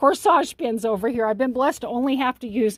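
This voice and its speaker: This woman has a high pitch and ordinary pitch variation, with a dry, close sound with no echo in a very clean recording with a silent background. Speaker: longarm quilter. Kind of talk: tutorial. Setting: quilting studio. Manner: fast; halting.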